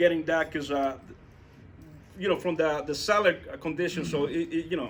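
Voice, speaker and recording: A man is speaking. He has a non-native accent. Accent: foreign accent, self-noted. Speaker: real estate investor. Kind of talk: talk with audience Q&A at meetup. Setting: meetup room with audience. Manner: halting, many fillers and repetitions.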